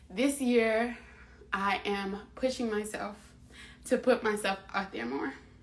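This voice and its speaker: A woman speaks over noticeable background noise. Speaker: live stream host. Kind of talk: casual live stream talk. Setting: Instagram live stream.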